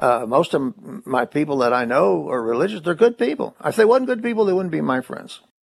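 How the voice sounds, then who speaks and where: At a fairly quick pace, a man with an American accent talks with very wide pitch swings. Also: fairly high pitch for a man. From Kentucky, Corbin. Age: 80s+. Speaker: atheist activist. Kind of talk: interview.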